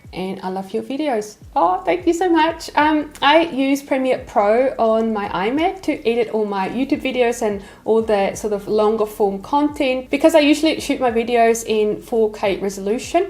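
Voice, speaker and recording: A woman talks at a moderate pace with fairly high pitch. Her intonation is lively over noticeable background noise. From Switzerland. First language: Swiss German. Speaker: lettering artist and YouTuber. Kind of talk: casual Q&A chat.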